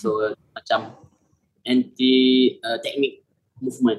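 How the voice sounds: A man speaks at a medium pitch. His pace is fairly slow and his intonation fairly even.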